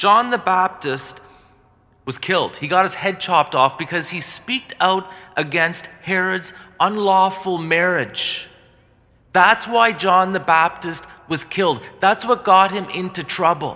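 Raising and projecting his voice, a man speaks at a fairly slow pace. His high pitch has a bright, sharp tone and ordinary pitch variation. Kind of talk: sermon. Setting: church. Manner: earnest, forceful preaching; direct, warning the congregation. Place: church.

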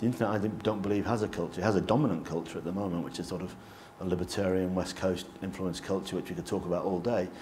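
At a very fast pace, a man with a very deep, low pitch speaks in fairly even intonation over light background noise. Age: 40s. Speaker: government digital director; panelist. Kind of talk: panel talk. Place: meeting room.

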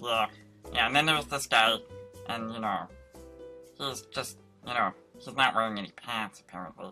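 A man's cartoonish character voice at medium pitch, long, frequent pauses, faint music in the background. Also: moderate pace. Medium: puppet show. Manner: deadpan, agreeable.

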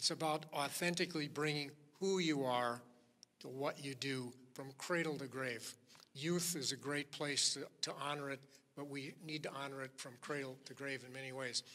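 A man speaks at a moderate pace in a fairly high pitch. His tone is bright and sharp, with fairly even intonation. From Minnesota, St. Paul; Minnesota. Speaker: author and motivational speaker; motivational speaker. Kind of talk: keynote speech. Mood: warm, storytelling. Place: hall. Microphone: podium.

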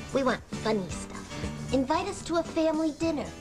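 A woman's upbeat, playful delivery at a moderate pace, with clear music in the background. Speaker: TV host. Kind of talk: comedic TV promo read. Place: home room.

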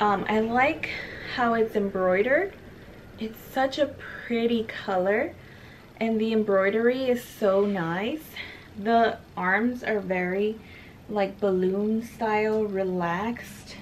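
A woman's fairly high voice at a very slow pace, with ordinary pitch variation over noticeable background noise. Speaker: beauty YouTuber. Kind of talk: haul video monologue. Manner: casual with many fillers.

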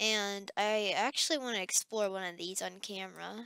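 A woman talks at a moderate pace in a bright, sharp tone. The sound is dry with no echo, over a quiet background. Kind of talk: gameplay commentary.

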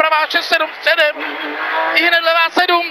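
A woman in a raised, projected voice speaks at a fairly slow pace with an extremely high pitch and monotone, flat intonation, in a dry sound with no echo amid noticeable background noise. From Czech Republic. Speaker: rally co-driver. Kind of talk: rally pace notes read aloud to the driver. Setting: rally car during a stage. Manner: urgent, sharply emphasized warnings (brzda, bacha) at hazards. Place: car. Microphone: helmet.

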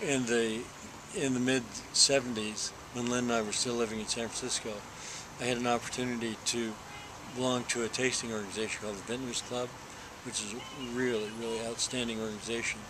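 Over noticeable background noise, a man talks at a fairly quick pace in a monotone, flat intonation, broken by long, frequent pauses. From Texas. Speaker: winemaker; interviewee. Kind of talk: interview. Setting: hotel venue before a dinner. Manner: hesitant, with fillers and repetitions. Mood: relaxed, warm storytelling.

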